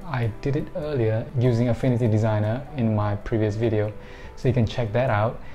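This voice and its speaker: A man speaks at a fairly quick pace with faint music in the background. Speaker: digital art tutorial creator. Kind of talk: casual tutorial intro. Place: home room.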